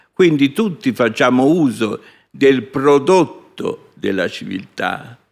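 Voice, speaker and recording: A man's voice with very wide pitch swings. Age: 70s. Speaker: scientist. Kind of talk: interview. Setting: stage with audience.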